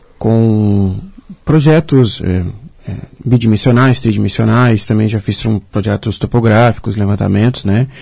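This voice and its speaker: At a fairly slow pace, a man speaks with a fairly low pitch, ordinary pitch variation and a somewhat breathy, dark, mellow tone. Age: 20s. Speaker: civil engineer. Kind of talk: radio interview. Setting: radio studio, also streamed live on social media.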